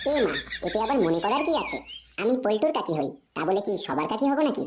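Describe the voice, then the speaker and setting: A cartoonish character voice races along at a very fast pace. Its pitch swings very wide. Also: woman, fairly high pitch for a woman. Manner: coy, sweet, teasing.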